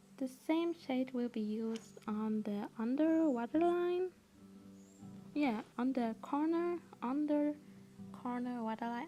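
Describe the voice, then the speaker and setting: Over music in the background, a woman with a non-native accent speaks very slowly in a high voice with lively intonation and long, frequent pauses. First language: not English. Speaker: makeup tutorial creator. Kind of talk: makeup tutorial talk to camera. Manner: casual.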